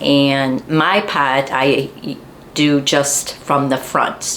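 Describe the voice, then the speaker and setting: Over noticeable background noise, a woman speaks with a very deep, low pitch and fairly even intonation. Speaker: gardening channel host, garden center worker. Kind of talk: tutorial.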